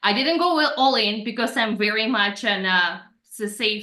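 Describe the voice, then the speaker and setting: A woman's fairly high voice in a Russian accent at a moderate pace, with audible room echo. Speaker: personal branding coach. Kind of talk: podcast interview.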